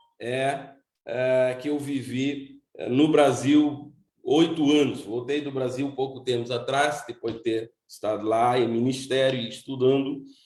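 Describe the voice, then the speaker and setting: Audible room echo surrounds a man speaking at a fairly slow pace. His medium-pitched voice is monotone, with flat intonation. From Cape Verde, São Nicolau island. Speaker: seminary director and preacher. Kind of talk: sermon. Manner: halting, with repetitions.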